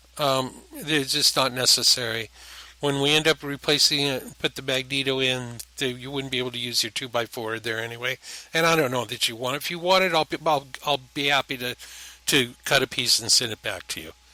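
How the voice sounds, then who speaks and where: A man's bright, sharp voice at a fairly quick pace, fairly even in intonation, with a dry, close sound and no echo. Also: medium pitch for a man. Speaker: antique telephone restorer. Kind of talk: casual narration over a restoration video. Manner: rambling, hesitant with frequent ums.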